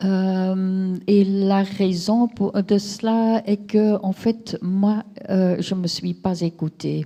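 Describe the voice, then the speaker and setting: A woman's somewhat breathy, dark, mellow voice at a medium pitch with flat, monotone intonation. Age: 60s. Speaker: patient giving testimony. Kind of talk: testimony. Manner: hesitant.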